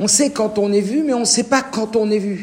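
Fairly quick, high-pitched speech from a man, its pitch varying in an ordinary way. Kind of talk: lecture. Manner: informal, interactive.

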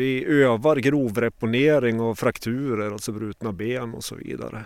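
A man's normal speaking voice, medium in pitch, at a fairly slow pace with ordinary pitch variation. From Sweden, Åre, Jämtland. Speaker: paramedic and mountain rescuer. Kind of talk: interview.

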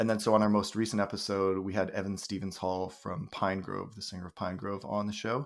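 A normal speaking voice from a fairly low-pitched man with a Canadian accent, fairly even intonation and hardly any pauses, on a very clean recording with a silent background. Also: fairly quick pace. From British Columbia, Canada. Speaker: podcaster and high school English teacher. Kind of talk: casual chat.

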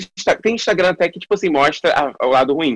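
With vocal fry and lively intonation, a man speaks at a moderate pace in a dry, close sound with no echo. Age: 20s. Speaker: actor and digital influencer. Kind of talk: casual interview.

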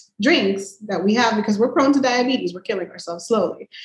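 A woman with an American accent speaks in a somewhat breathy voice with ordinary pitch variation. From Miami, Florida. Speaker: podcast guest. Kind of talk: casual chat. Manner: blunt, talkative.

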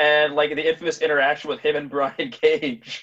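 This man has an unremarkable speaking voice and a fairly high pitch. He talks at a fairly quick pace with ordinary pitch variation. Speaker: podcast host and comic shop owner. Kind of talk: casual interview chat with sponsor reads.

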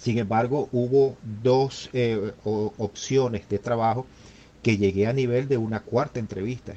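With fairly even intonation, a man speaks at a medium pitch in a dark, mellow tone. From Venezuela, Maracaibo. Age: 50s. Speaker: engineer and returned migrant. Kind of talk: interview testimony. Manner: halting, with many repetitions.

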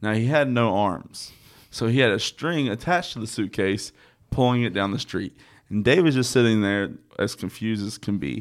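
A man talks in a normal speaking voice at medium pitch and moderate pace. His intonation is lively, and the recording is very clean with a silent background. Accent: American. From North Carolina (Statesville). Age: 30s. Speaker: podcast host, DJ. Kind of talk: casual chat. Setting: studio.

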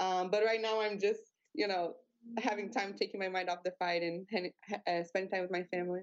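This is a normal speaking voice at a fairly quick pace. The intonation stays fairly even. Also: woman, medium pitch for a woman. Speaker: MMA fighter. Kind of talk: casual interview. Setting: video call.

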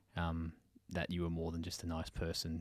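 A man's very deep, low voice with an Australian accent, on a very clean recording with a silent background. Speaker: podcast host and therapist. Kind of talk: interview.

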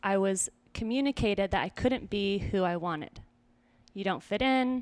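A woman with an American accent and an unremarkable speaking voice, medium pitch, ordinary pitch variation, and moderate pace, on a very clean recording with a silent background. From small-town Idaho. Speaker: self-mastery coach and podcast host. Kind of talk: casual interview chat.

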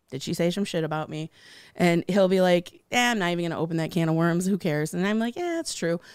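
A woman with an American accent races along at a very fast pace, her fairly low pitch showing ordinary variation, on a very clean recording with a silent background. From Michigan, Detroit area. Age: 40s. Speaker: comedian. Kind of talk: casual chat.

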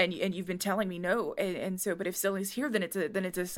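The speaker reads aloud in a natural voice, keeping the intonation fairly even.

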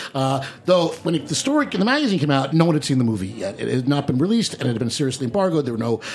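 Over noticeable background noise, a man with a fairly high voice talks very fast in an animated tone with lively intonation. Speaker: radio host. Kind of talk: casual comedic banter. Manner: animated, joking.

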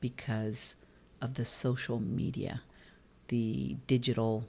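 Very slow and dark and mellow in tone, a woman with a New Jersey accent speaks at a very deep, low pitch. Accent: New Jersey American. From New Jersey, US. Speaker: B&B and tour company owner, podcast co-host. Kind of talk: casual chat.

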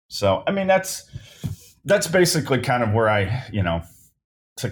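A man speaks with an American accent, sounding somewhat breathy. The recording is very clean, with a silent background. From Northern Kentucky, US. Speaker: sports photographer. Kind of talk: casual interview. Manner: hesitant, many fillers.

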